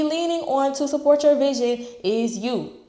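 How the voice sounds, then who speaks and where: Over noticeable background noise and audible room echo, a woman talks at a high pitch. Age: 20s. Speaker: entrepreneur and real estate vlogger. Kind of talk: casual motivational vlog talk. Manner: casual, unscripted, with fillers like okay and all right.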